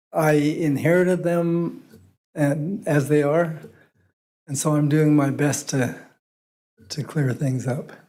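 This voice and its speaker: A man with a fairly high pitch and a dark, mellow tone speaks at a very slow pace. Long, frequent pauses break up his speech, and audible room echo surrounds it. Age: 70s. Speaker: property owner addressing city council. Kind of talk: public meeting testimony. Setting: city council meeting.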